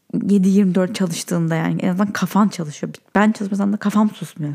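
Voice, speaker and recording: Somewhat breathy and dark, mellow in tone, a woman talks at a fairly quick pace with medium pitch and fairly even intonation. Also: hardly any pauses. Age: 30s. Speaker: podcast host. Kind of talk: casual solo monologue. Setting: in bed at night.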